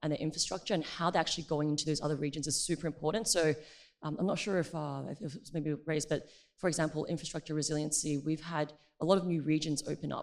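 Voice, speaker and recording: In an Australian accent, a woman talks very fast with a very deep, low pitch on a very clean recording with a silent background. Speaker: tech company partnerships manager. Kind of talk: conference panel discussion.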